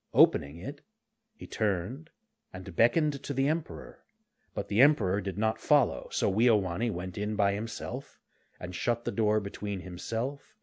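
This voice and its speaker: An ordinary speaking voice from a man, fairly low in pitch, with lively intonation at a moderate pace over a quiet background. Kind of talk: fairy-tale audiobook reading. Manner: tender, wistful, shifting to hushed, pleading tones for the boy's lines.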